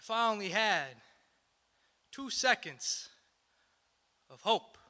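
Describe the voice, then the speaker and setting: A man's high, bright, sharp voice at a very slow pace. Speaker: spoken word poet. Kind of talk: live spoken word poetry performance.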